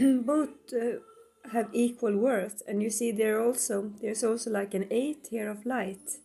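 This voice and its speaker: The speaker has a Swedish accent. The pace is very slow. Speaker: tarot reader. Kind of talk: tarot reading; casual chat. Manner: halting.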